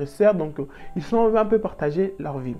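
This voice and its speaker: An animated tone at a fairly quick pace, with music in the background. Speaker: storytelling vlogger. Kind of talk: storytime monologue. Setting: handheld microphone.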